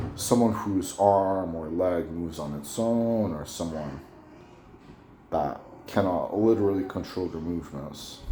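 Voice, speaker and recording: A man's very deep, low pitch at a fairly slow pace, with ordinary pitch variation, audible room echo and noticeable background noise. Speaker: YouTuber. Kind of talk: casual monologue. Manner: halting, repetitive; clipped word endings.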